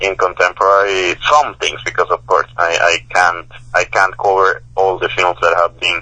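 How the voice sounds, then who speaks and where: A man with a Spanish accent speaks at a moderate pace. His pitch is fairly low with ordinary variation. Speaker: professor and author. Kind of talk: interview. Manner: halting, many repetitions and fillers.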